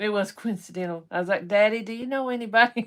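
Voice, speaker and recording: In an Appalachian accent, a woman speaks with ordinary pitch variation. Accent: Appalachian Kentucky. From eastern Kentucky (Hazard). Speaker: live-stream co-host, rockhound. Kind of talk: casual live-stream chat.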